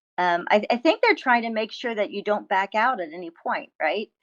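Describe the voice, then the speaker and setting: A woman talks at a moderate pace. The sound is dry and close with no echo, and the background is quiet. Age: 50s. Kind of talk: interview answer. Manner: hesitant, many fillers.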